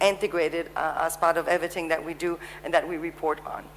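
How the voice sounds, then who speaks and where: Noticeable background noise fills the clip. Over it, a woman speaks fairly quickly. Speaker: panel moderator. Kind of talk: conference panel moderation. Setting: conference stage with audience. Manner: hesitant, many fillers.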